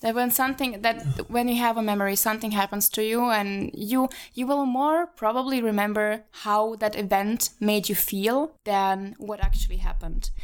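A woman with a Slovak accent and a fairly high pitch talks at a moderate pace with hardly any pauses and ordinary pitch variation. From Slovakia. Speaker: podcast co-host and model. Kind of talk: casual chat. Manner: animated.

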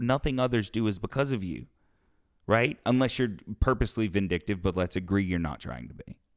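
A man with an American accent speaks in a plain, everyday voice at a fairly low pitch and a fairly quick pace with lively intonation, the sound dry and close with no echo. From US South. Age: 20s. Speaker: podcast host and opera singer. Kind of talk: casual chat.

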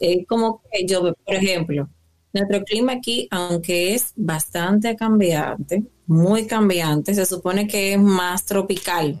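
A woman speaks very slowly at a medium pitch with ordinary pitch variation. Her loudness swings widely. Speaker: podcast co-host. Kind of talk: casual chat.

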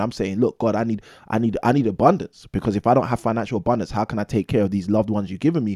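Speaking at a very fast pace with a London accent, a man of medium pitch shows ordinary pitch variation in a dry, close sound with no echo, and the recording is very clean with a silent background. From London, England. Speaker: real estate investor and former maths teacher. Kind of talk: casual interview.

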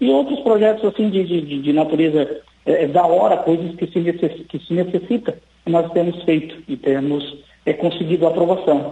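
This man's voice sits high in pitch. Its pitch moves with ordinary variation. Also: moderate pace. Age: 40s. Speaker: city council president. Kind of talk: radio interview. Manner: halting, many fillers.

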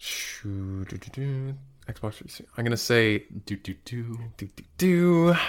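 Against a silent background in a very clean recording, a man with a normal speaking voice talks at a fairly slow pace with lively intonation. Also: medium pitch for a man. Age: 20s. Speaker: video game podcast co-host. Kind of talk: casual chat.

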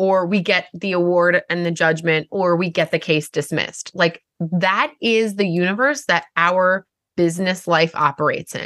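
A woman speaks with a Long Island accent, the sound dry and close with no echo. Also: fairly low pitch for a woman, ordinary pitch variation, moderate pace, hardly any pauses. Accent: Long Island accent with long Rs. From Long Island, New York. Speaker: podcast co-host and lawyer. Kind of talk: casual chat.

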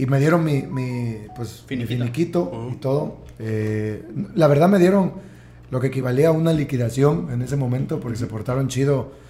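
Music plays in the background while a man speaks at a moderate pace, with audible room echo. His medium pitch carries lively intonation. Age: 30s. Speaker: entrepreneur. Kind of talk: casual chat. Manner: halting.

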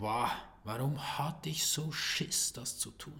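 A man's voice with very wide pitch swings and vocal fry. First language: Swiss German (speaking German). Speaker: sales and video marketing coach. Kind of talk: solo podcast monologue.

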